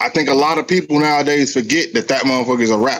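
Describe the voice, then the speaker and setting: This man has an unremarkable speaking voice, pitched fairly high, with ordinary pitch variation. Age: 40s. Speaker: podcast host. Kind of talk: casual chat.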